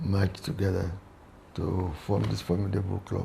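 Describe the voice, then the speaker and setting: Moderate pace amid noticeable background noise. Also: man. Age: 70s. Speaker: retired naval officer and club member. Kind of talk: interview. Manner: halting, with many repetitions.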